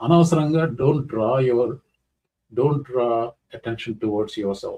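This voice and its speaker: A man talks at a fairly quick pace, somewhat breathy, with a dark, mellow tone. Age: 60s. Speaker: YouTube commentator. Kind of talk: casual commentary, answering viewer question. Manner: code-switching Telugu and English; halting, many fillers.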